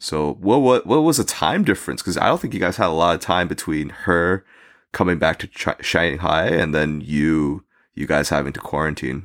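Speaking in a New Jersey accent, a man has a very deep, low voice. He keeps a moderate pace with ordinary pitch variation. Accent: American, New Jersey. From US, New Jersey. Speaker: podcast guest. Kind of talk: casual chat. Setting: remote call, guest in the US.

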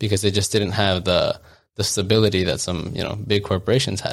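Fairly low-pitched and fairly even in intonation, a man speaks in an ordinary speaking voice on a very clean recording with a silent background. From US, child of Colombian and Ecuadorian immigrants. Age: 20s. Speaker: podcast co-host. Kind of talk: casual chat.

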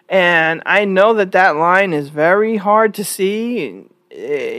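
Recorded very cleanly against a silent background, a woman with an American accent talks at a fairly slow pace in a plain, everyday voice, her medium pitch showing ordinary variation. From New York. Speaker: podcast host. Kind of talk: solo opinion monologue.

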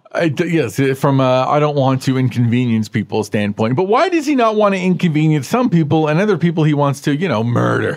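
Over noticeable background noise, a man with a fairly high pitch speaks at a fairly quick pace, keeping his loudness very even and his intonation lively, with hardly any pauses. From Canada. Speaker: podcast co-host. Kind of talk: casual chat.

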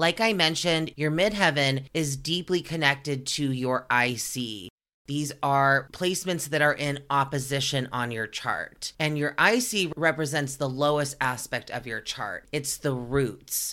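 On a very clean recording with a silent background, a woman with a very deep, low pitch and a bright, sharp tone talks at a fairly slow pace with ordinary pitch variation and hardly any pauses. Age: 30s. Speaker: spiritual podcast host. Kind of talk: solo podcast monologue.

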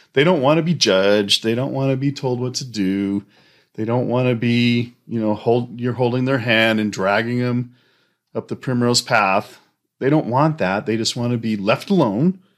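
Very clean and recorded against a silent background, this clip features a man speaking at a moderate pace. His pitch is medium, with ordinary pitch variation. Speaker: host's husband. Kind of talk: casual faith-based parenting chat. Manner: loud.

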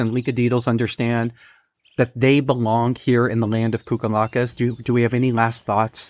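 Someone with an American accent speaks in an ordinary speaking voice at a fairly quick pace. The background is quiet. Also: man, dry, close sound with no echo. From Texas. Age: 40s. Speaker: podcast host and teacher. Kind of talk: casual chat with children, guided imaginary journey. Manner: warm, encouraging.

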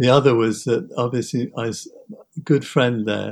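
Speaking with a British accent, a man talks at a medium pitch. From England. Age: 70s. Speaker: documentary photographer. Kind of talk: interview. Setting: remote call.

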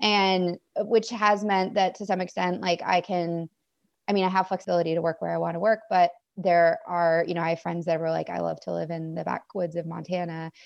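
An ordinary speaking voice with an American accent moves at a fairly quick pace with fairly even intonation over a quiet background. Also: woman, fairly low pitch for a woman. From Maine, US. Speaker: emergency veterinarian. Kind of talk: casual interview.

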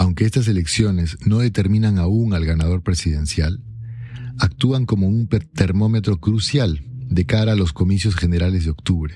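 A man's very deep, low voice at a moderate pace, serious in tone, with ordinary pitch variation and very even loudness. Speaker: article narrator. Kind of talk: formal news-style reading aloud of an opinion article. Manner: formal; measured, even and serious.

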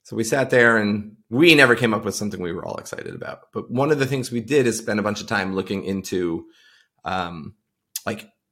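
With an American accent, this unremarkable speaking voice moves at a fairly quick pace with ordinary pitch variation. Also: man. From Long Island, New York. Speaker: tech product leader. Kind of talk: casual interview.

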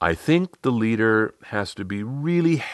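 Lively intonation marks the delivery. The text is simply read aloud, plainly.

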